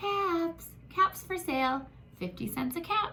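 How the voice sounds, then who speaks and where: Over clear background noise, a woman uses a squeaky put-on character voice at a fairly slow pace. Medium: read story. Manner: stammering when angry.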